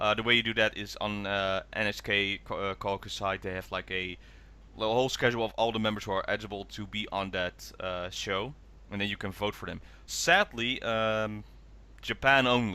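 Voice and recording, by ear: Using a bright, sharp tone, a man speaks at a fairly low pitch and moderate pace with fairly even intonation.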